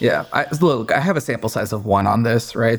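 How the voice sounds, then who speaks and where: A man speaks at a moderate pace and medium pitch in a plain, everyday voice with a General American accent. The recording is very clean, with a silent background. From US Pacific Northwest (Seattle area, Redmond). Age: 20s. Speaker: business owner, former private equity investor. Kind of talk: interview.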